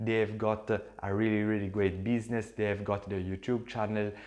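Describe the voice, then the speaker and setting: A man with an Italian accent, a fairly low pitch, a moderate pace and monotone, flat intonation. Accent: non-native English, Italian. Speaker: social media entrepreneur, YouTuber. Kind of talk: casual vlog talk to camera. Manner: halting, with fillers.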